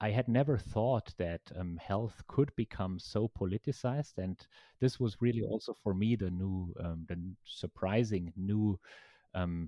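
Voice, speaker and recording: A man with a German accent speaks at a fairly slow pace, his fairly low voice showing ordinary pitch variation. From Germany. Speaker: professor. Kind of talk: interview.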